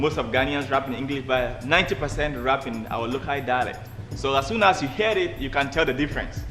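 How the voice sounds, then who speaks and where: Music plays in the background. A man at medium pitch talks at a fairly quick pace with ordinary pitch variation. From Ghana. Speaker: hip life artist. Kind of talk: interview.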